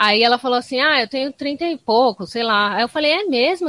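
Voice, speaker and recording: A woman's high-pitched voice at a fairly quick pace, full of lively intonation. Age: 30s. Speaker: skateboarder and psychologist. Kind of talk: podcast interview.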